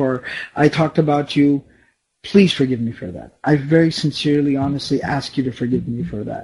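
Somewhat breathy with a dark, mellow tone, a man with an American accent speaks at a fairly quick pace and fairly high pitch, with ordinary pitch variation and big swings in loudness. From US, Dallas, Texas. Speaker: Islamic lecturer. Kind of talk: lecture. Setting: online session. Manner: halting, many fillers.

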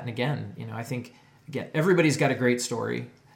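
A man with an American accent at a very fast pace, with vocal fry and audible room echo. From northeast Ohio, US. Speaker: video producer. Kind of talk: casual chat.

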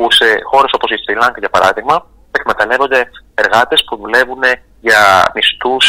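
The speech moves at a fairly quick pace. A man is heard in a dry, close sound with no echo at all. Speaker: actor. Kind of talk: radio interview. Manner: halting.

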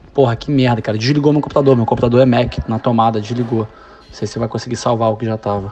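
Medium-pitched male voice with fairly even intonation and noticeable background noise. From Brazil, Niterói (Rio de Janeiro). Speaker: college soccer coach. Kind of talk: casual chat.

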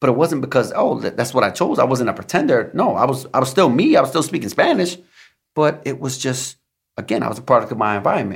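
A man with an American accent talks very fast at a medium pitch, his pitch varying in an ordinary way. His voice is somewhat breathy. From New York City, the Bronx. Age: 30s. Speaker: police detective and military veteran. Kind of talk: casual chat.

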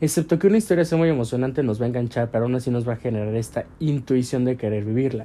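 A man speaks at a very fast pace with hardly any pauses. His medium-pitched voice has a dark, mellow tone and ordinary pitch variation. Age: 20s. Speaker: podcaster and modeling agency owner. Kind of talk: personal reflective monologue.

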